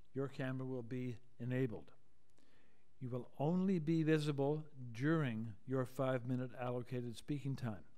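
Against a quiet background, a man with a dark, mellow tone talks at a moderate pace with ordinary pitch variation. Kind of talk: formal procedural announcement. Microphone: video call.

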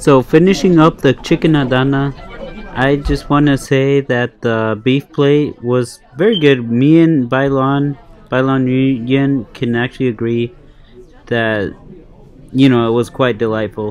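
A man talks fairly slowly, his pitch varying in an ordinary way, while music plays faintly behind him. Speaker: food vlogger. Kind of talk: casual vlog chat. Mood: pleased, relaxed. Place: cafe. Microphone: phone near.

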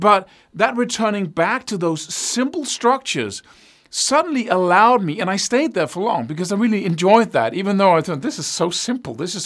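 Lively intonation from a man, with quiet in the background. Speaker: guitar teacher. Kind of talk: tutorial. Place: studio.

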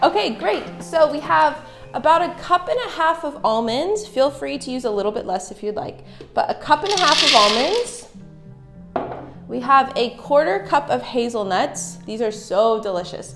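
A woman at a moderate pace with big swings in loudness, clear music in the background. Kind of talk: cooking tutorial. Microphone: camera far.

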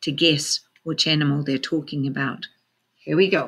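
The speaker is a woman. She keeps a moderate pace. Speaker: teacher. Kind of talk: storytime read-aloud to children. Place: classroom. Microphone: webcam.

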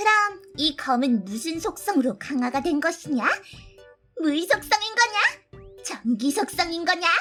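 Someone in a put-on character voice speaks at an extremely high pitch and a fairly slow pace. Faint music plays in the background. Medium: audio drama. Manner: archaic, commanding speech.

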